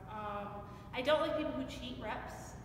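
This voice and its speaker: At a moderate pace, a woman speaks amid audible room echo and noticeable background noise. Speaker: interviewee. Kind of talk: interview answer. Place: gym. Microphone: camera far.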